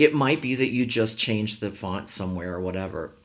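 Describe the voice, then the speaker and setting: At a fairly quick pace, a man speaks in a fairly low pitch with ordinary pitch variation. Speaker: university instructor. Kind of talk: course introduction lecture. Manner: fast; casual, many fillers.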